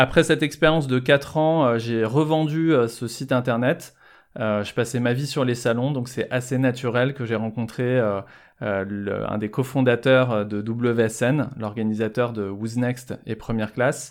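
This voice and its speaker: On a very clean recording with a silent background, a man talks at a very slow pace and medium pitch with fairly even intonation. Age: 40s. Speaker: fashion events entrepreneur. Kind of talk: podcast interview.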